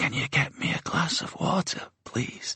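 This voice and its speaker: At a moderate pace, a man speaks quietly in a put-on character voice. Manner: timid, subdued.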